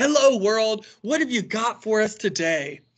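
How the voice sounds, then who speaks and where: A loud, put-on character voice comes through over a quiet background. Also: man, high pitch for a man, moderate pace. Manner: loud booming.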